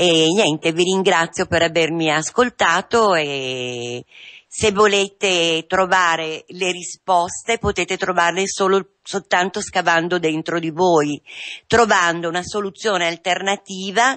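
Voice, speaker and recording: Over a quiet background, a woman speaks at a very slow pace. Her pitch varies in an ordinary way. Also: fairly low pitch for a woman. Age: 50s. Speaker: patient in addiction recovery. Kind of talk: testimony. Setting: radio studio. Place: studio.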